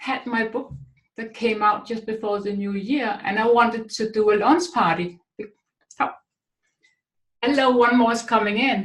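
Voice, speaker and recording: A woman with a Danish accent, fairly high-pitched and somewhat breathy, at a fairly slow pace with long, frequent pauses and ordinary pitch variation. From Denmark. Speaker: author and speaker. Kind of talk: webinar talk. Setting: online webinar.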